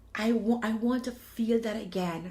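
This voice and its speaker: At a very slow pace, a woman speaks in a somewhat breathy voice with a fairly high pitch. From Jamaica. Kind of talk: personal testimony. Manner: animated.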